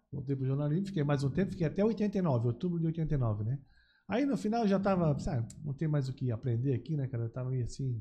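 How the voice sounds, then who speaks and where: A man's fairly high, somewhat breathy voice with a dark, mellow tone and lively intonation, very fast in pace, against a quiet background. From Santa Catarina, Brazil (Blumenau/Gaspar). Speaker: businessman, TV producer. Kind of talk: casual interview chat.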